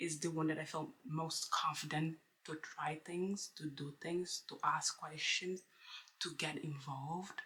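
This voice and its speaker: In a non-native accent, a woman speaks fairly slowly at a very deep, low pitch with fairly even intonation. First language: not English. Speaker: book vlogger. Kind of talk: casual vlog monologue. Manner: halting, with many fillers.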